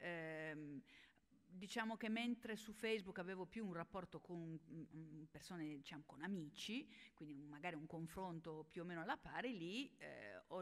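This woman has an unremarkable speaking voice, pitched fairly low. Her pitch varies in an ordinary way. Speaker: health journalist and science communicator. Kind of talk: panel discussion. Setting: stage with audience. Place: hall. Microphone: podium.

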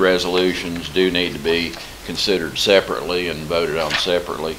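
A man with a very deep, low voice talks in a flat monotone over noticeable background noise. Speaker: financial advisor presenting to council. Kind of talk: formal presentation. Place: meeting room.

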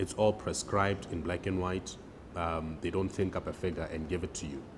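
A man speaks in a very deep, low voice with fairly even intonation. There is noticeable background noise behind him. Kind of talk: interview answer. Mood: calm explanatory. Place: office. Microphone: lapel.

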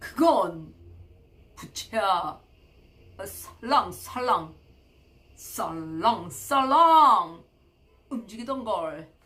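Using a put-on character voice, the speaker goes at a very slow pace with long, frequent pauses. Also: female-sounding voice, fairly high pitch for a woman. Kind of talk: read-aloud children's story with commentary. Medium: read story.

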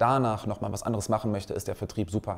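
This is a man's voice. His pitch sits fairly low. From Wuppertal, western Germany; Germany. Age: 20s. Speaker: salesman for security systems. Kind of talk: career talk to young people. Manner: frequent filler hesitations. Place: studio.

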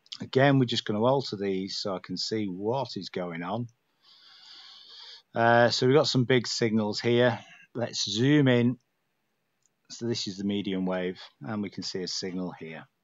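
A man with a northern English accent at a fairly low pitch, relaxed in tone, with ordinary pitch variation, big swings in loudness, and long, frequent pauses. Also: moderate pace. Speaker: radio hobbyist. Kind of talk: screen-recorded software tutorial. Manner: casual, relaxed.

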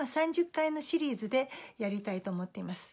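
A woman at a fairly quick pace with very wide pitch swings, over a quiet background. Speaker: Facebook live host, life-planning and feng shui coach. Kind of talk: motivational talk. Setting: live video broadcast. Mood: warm, friendly. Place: home room.

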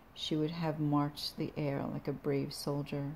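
Quiet and dramatic, a woman speaks at a fairly slow pace in a very deep, low pitch with a dark, mellow tone. Her intonation is monotone and flat, with light background noise. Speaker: poet and belly dancer channel creator. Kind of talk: poetry reading, solemn performed verse between casual chatty intros. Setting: home video, self-recorded. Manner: slow, deliberate, hushed dramatic delivery of the poems; casual, rambling, halting between poems. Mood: quiet, somber. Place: home room. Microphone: phone near.

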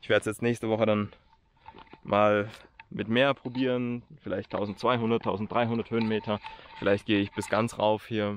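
Over light background noise, a man speaks in a flat monotone at a moderate pace and fairly low pitch, the sound dry with no echo. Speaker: hiker vlogger. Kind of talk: casual vlog chat. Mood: reflective, determined. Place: open country. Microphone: phone near.

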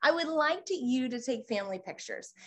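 A woman speaks in a high pitch. Her pitch swings very wide. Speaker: photographer and lawyer teaching photographers. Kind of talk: educational webinar talk. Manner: fast talker. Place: home room.

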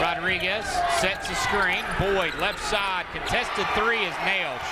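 Loud background noise surrounds a fairly slow voice with a dry sound and no echo. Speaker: basketball play-by-play announcer. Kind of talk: live sports play-by-play commentary over game highlights. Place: stadium. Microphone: headset.

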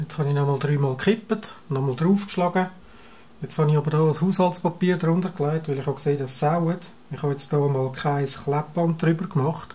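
A man speaks with a Swiss accent and fairly even intonation. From Switzerland. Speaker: analogue photographer. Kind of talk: darkroom tutorial. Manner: casual. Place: home room. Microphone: camera far.

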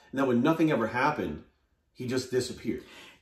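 A man at a very fast pace with ordinary pitch variation, audible room echo and a quiet background. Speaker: guest. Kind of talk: interview answer. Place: home room. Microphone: camera far.

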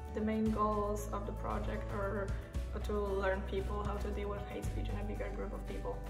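Clear music sounds behind the speaker. She, a woman, talks at a moderate pace. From Poland. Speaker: youth project participant. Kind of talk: interview answer. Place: home room. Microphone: phone near.

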